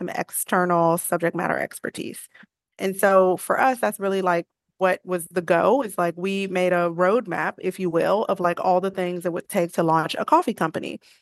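A woman with an unremarkable speaking voice and an American accent talks at a fairly quick pace and medium pitch, recorded with a dry, close sound and no echo. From Chicago, South Side. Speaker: coffee business founder. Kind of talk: interview conversation.

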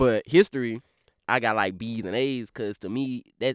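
Recorded very cleanly against a silent background, with a dry, close sound and no echo, a man speaks with a Louisiana accent. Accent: Louisiana Southern drawl. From Baton Rouge, Louisiana. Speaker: rapper. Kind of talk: casual interview. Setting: studio.

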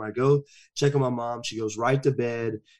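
Against a quiet background, a man with a Southern US accent talks at medium pitch and a moderate pace in a monotone, flat intonation. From US South, rural. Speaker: motivational speaker and men's counselor. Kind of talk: personal testimony in interview.

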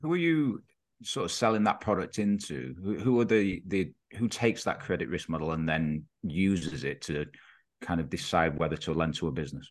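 Vocal fry from a man with a very deep, low pitch, lively intonation and a fairly quick pace. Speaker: podcast host. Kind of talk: podcast interview.

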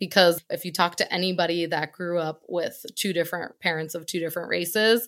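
A woman with a plain, everyday voice, fairly low in pitch, speaks with an American accent and fairly even intonation in a very clean recording with a silent background. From Connecticut, US. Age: 30s. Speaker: travel company director. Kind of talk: interview.

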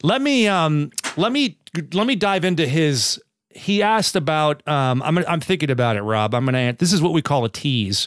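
A man speaks at a moderate pace in a fairly high pitch, with very wide pitch swings and very even loudness. The recording is very clean, with a silent background. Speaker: fitness podcast host. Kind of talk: casual chat. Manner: animated.

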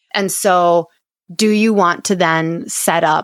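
A woman at medium pitch with ordinary pitch variation and a normal speaking voice, dry and close with no echo in a very clean recording, silent background. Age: 30s. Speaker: chiropractor and business coach. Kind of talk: casual interview.

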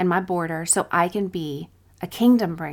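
In a very clean recording with a silent background, a woman speaks in a warm tone at a medium pitch with ordinary pitch variation. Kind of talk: fervent prayer, spoken aloud to God in first person; devotional teaching, scripted intro. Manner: earnest, heartfelt, reverent; warm, encouraging.

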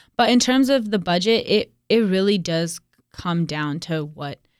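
A woman speaks in a plain, everyday voice with an American accent, her pitch fairly low and its variation ordinary, at a moderate pace. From US South, Raleigh, North Carolina. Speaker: city council candidate. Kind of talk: interview.

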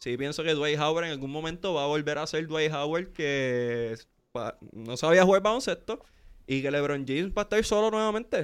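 A plain, everyday voice: a man with a fairly high pitch speaks fairly quickly with lively intonation over a very clean recording with a silent background. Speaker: podcast host. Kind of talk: casual sports chat. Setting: studio.

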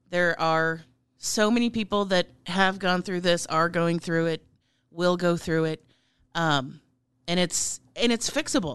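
In an American accent, a woman with a fairly low pitch talks at a fairly slow pace with ordinary pitch variation, an ordinary speaking voice against a quiet background. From Nebraska, US Midwest. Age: 40s. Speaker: chef and political candidate. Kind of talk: interview.

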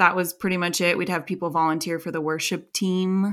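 Here is a woman with an American accent and a plain, everyday voice. She talks at a fairly quick pace, fairly low in pitch, with fairly even intonation. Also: very clean recording, silent background. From US. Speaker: ex-evangelical podcaster. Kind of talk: casual chat.

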